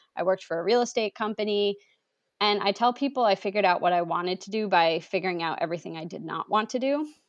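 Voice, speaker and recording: Against a quiet background, a woman talks at a very fast pace at a medium pitch, with ordinary pitch variation and big swings in loudness. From New England. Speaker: registered dietitian. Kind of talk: interview.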